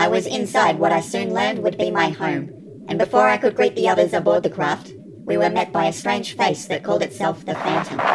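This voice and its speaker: A cartoonish character voice at a fairly quick pace and middle pitch, over clear background noise. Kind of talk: storytime narration. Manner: formal, measured, reflective.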